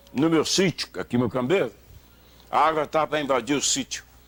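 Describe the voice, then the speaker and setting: With music in the background, a man with a fairly high pitch talks at a moderate pace using lively intonation. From Minas Gerais, Brazil (Zona da Mata). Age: 70s. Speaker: retired radio announcer. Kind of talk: interview. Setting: at home. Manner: animated.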